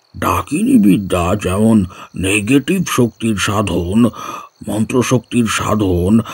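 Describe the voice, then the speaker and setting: Using a put-on character voice, a man speaks very slowly at a medium pitch with lively intonation. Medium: audio drama. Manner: warm, patient, instructive.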